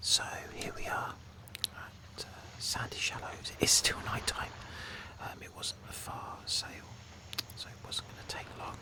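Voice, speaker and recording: A man whispers at a fairly slow pace, with long, frequent pauses. Noticeable background noise runs underneath. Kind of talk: casual ASMR gameplay commentary, whispered. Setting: studio, Blue Yeti microphone. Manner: whispered, soft-spoken.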